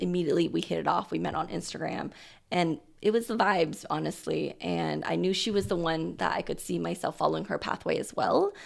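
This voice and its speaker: A woman with an American accent talks at a fairly quick pace in a very clean recording with a silent background. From US Pacific Northwest, Portland, Oregon. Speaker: dentist and practice owner. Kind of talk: podcast interview.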